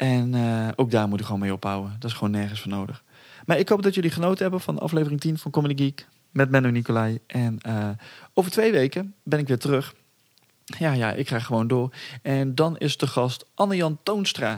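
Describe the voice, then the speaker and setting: Speaking at a fairly quick pace, a man with a medium pitch swings his pitch very widely in a very clean recording with a silent background. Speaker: podcast host. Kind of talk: casual chat. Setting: outdoors. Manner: fast; halting.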